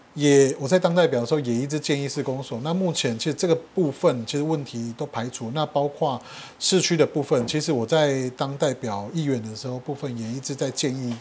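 Over light background noise, a man talks at a fairly quick clip with hardly any pauses, his fairly high voice showing ordinary pitch variation. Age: young. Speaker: mayoral candidate, local politician; candidate, local politician. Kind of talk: political interview. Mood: earnest campaign appeal. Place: home room.

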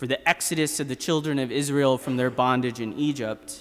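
A man is talking at a moderate pace. The background is quiet. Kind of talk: sermon. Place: church. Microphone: podium.

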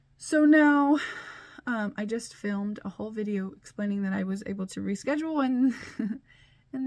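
Somewhat breathy, a woman talks against a quiet background. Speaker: vlogger. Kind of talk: casual vlog chat. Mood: mildly exasperated, laughing. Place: office. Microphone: phone near.

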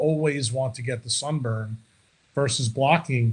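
A man's somewhat breathy voice, fairly slow, with fairly even intonation. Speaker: remote podcast guest. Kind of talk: interview answer. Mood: confident, contrarian. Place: home room. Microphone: video call.

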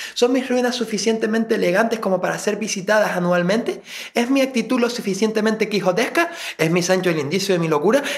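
Speaking very fast, a man uses a high pitch with ordinary variation. Noticeable background noise sits behind him. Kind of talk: spoken word poetry. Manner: introspective, brooding.

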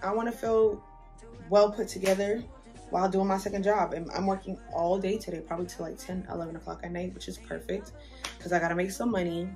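Clear music plays in the background. A woman talks at a very fast pace. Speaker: beauty vlogger. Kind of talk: casual vlog chat. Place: home room. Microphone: phone near.

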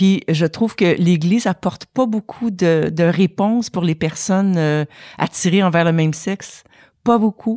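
Heard in a very clean recording with a silent background and a dry, close sound with no echo, a woman with a dark, mellow tone talks at a fairly slow pace with ordinary pitch variation. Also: medium pitch for a woman. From Quebec. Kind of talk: testimony.

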